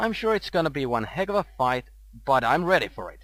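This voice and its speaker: A man with a fairly high pitch speaks at a moderate pace in an upbeat tone, with very wide pitch swings. The recording is very clean, with a silent background. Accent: Finnish. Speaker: gaming commentator. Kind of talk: video game commentary.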